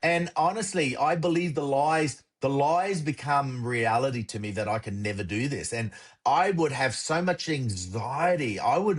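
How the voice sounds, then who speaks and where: Over a quiet background, a man with an Australian accent speaks at a moderate pace with hardly any pauses, in a somewhat breathy, energetic tone. His pitch is fairly high and swings very widely. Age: 60s. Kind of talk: casual interview.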